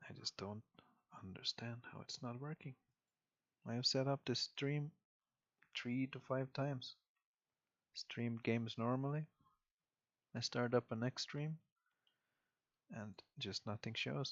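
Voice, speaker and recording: A soft-spoken man with a medium-pitched voice talks at a fairly slow pace, leaving long, frequent pauses. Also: fairly even intonation. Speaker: game caster. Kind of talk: live commentary.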